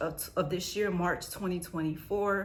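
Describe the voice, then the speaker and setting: Audible room echo around a woman's fairly low voice. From United States. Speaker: vlogger sharing family immigration experience. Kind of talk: casual storytime vlog. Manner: fast; chatty.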